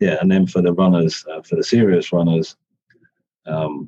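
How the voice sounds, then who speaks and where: A man's very deep, low voice with a dark, mellow tone and a dry, close sound with no echo. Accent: British. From UK. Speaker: company CFO and race sponsor. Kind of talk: casual interview.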